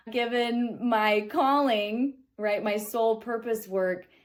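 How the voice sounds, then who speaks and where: A woman at fairly high pitch with a Midwestern American accent, very slow in pace, on a very clean recording with a silent background. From Kansas City, Kansas. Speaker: metaphysical student, spiritual teacher. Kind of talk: spiritual reflection talk to camera.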